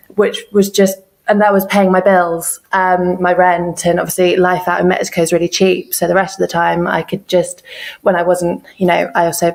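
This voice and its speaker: Speaking in an English accent, a woman keeps a medium pitch and moderate pace, her intonation monotone and flat. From east of England. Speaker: freelance translator and copywriter. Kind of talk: podcast interview.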